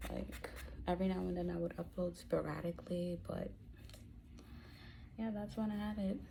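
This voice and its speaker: The voice is quiet and moderately paced, with long, frequent pauses and audible room echo. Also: woman. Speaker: YouTuber. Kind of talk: get-ready-with-me vlog chat. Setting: at home. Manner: speaking quietly, low volume.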